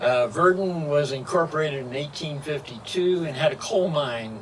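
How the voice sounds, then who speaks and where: A man speaks with a fairly high pitch and ordinary pitch variation over noticeable background noise. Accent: American. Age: 80s+. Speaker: historian. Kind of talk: public speech. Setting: outdoors at a cemetery commemoration.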